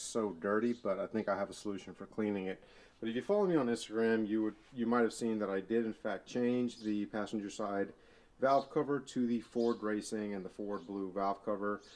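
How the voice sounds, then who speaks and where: With an unremarkable speaking voice, a man talks fairly quickly at a fairly low pitch and with fairly even intonation. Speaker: car vlogger. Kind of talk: casual vlog chat. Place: garage. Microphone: phone near.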